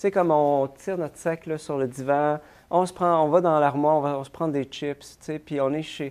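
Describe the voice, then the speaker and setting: This man's fairly high voice moves at a moderate pace. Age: 40s. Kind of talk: interview. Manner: halting.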